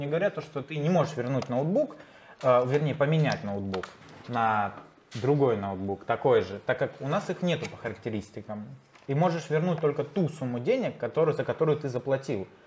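A man at a moderate pace with lively intonation, over light background noise. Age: young. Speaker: customer telling his story about a laptop return; guest. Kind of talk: casual interview. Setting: computer repair workshop. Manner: hesitant, with many fillers. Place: studio.

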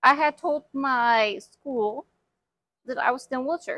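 With an American accent, a woman uses a raised, projected voice at a high pitch, with a bright, sharp tone, at a moderate pace, in a dry, close sound with no echo. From Houston, Texas. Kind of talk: interview.

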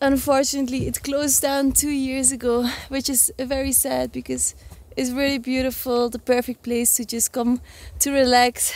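At a moderate pace, a woman speaks in a high pitch with monotone, flat intonation, the sound dry and free of echo. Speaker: travel vlogger. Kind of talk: casual vlog chat. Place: open country. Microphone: phone near.

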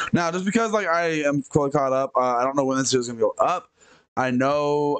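Here a man talks at a very fast pace. The background stays quiet. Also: dry sound with no echo. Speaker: reaction video creator. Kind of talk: casual reaction commentary. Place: home room. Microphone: headset.

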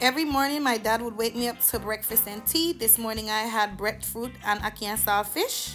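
Music plays in the background as a woman with a Jamaican accent and a fairly high pitch talks at a fairly quick pace. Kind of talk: travel vlog voice-over.

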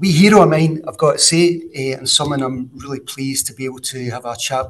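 Over light background noise, a man with a Scottish accent talks at a fairly quick pace with ordinary pitch variation. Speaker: show host. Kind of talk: show introduction. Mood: warm, pleased. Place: office. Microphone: webcam.

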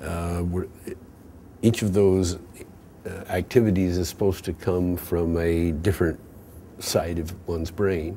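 Very deep and low, a man's dark, mellow voice stays monotone and flat, moving at a fairly slow pace with long, frequent pauses. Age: 70s. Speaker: artist and sculptor. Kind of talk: interview reflection. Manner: halting, frequent fillers.

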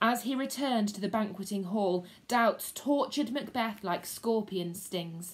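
This is an unforced reading voice. The words are simply read out.

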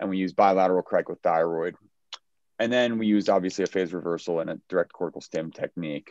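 Over a quiet background, a man speaks at a very fast pace in a very deep, low voice with fairly even intonation, the sound dry with no echo. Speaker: neurosurgeon; presenter. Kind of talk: case presentation. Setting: video call. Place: home room. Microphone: video call.

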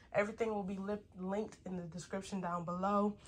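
A somewhat breathy woman's voice at a fairly quick pace. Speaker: fashion YouTuber. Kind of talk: try-on haul video. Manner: animated.

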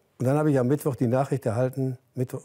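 A man speaks in a dark, mellow tone with fairly even intonation. The background is quiet. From Germany. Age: 80s+. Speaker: former footballer; interview guest. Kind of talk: interview. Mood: relaxed, reminiscing, smiling. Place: home room. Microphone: lapel.

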